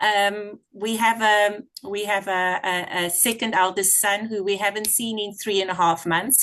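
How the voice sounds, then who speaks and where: An unremarkable speaking voice from a woman, fairly high in pitch, at a moderate pace against a quiet background. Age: 50s. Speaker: product user, team member. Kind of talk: testimony.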